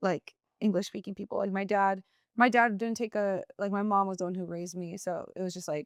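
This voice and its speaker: With a Spanish accent, the speaker talks at a fairly quick pace and fairly even intonation, in a dry, close sound with no echo against a quiet background. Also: woman, medium pitch for a woman. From California, Mexican American household. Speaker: documentary and reality TV worker, writer. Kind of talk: casual chat. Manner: casual, lots of fillers.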